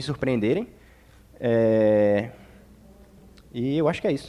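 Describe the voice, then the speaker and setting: A man with a northeastern Brazilian accent at a fairly slow pace, on a very clean recording with a silent background. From Brazil, Northeast. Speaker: teacher at a community discussion. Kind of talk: open panel discussion.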